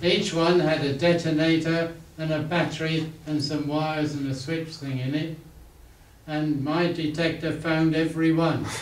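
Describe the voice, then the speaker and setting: A man with a fairly high pitch speaks in a monotone, flat intonation at a moderate pace. Audible room echo and light background noise surround him. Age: 80s+. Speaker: inventor. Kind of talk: talk at a club meeting. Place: meeting room. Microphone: camera far.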